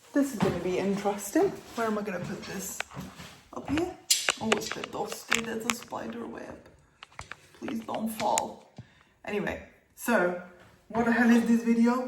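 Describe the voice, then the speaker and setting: A woman with fairly high pitch and ordinary pitch variation, long, frequent pauses, big swings in loudness and noticeable background noise. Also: moderate pace. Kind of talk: casual vlog talk to camera. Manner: chatty.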